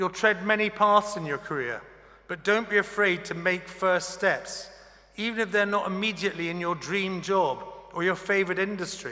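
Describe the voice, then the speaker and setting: A man's high, raised and projected voice at a moderate pace, fairly even in intonation, against noticeable background noise. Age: 60s. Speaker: honorary graduate speaker. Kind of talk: graduation address. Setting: ceremony hall with audience. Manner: formal.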